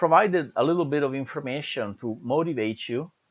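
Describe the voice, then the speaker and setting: Over a quiet background, a man speaks with an Italian accent at a moderate pace. His pitch varies in an ordinary way. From Italy. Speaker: university lecturer. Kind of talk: lecture. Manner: hesitant, many fillers.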